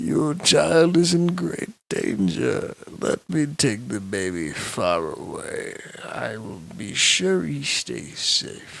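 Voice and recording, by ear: A man puts on a character voice at a slow pace, with vocal fry and a fairly bright tone. His pitch sits at a medium level but swings widely.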